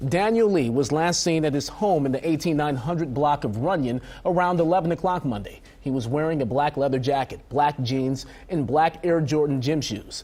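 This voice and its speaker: A man uses an unremarkable speaking voice with ordinary pitch variation, keeping a moderate pace. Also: fairly high pitch for a man. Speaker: TV news anchor. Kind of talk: TV news anchor read. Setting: studio.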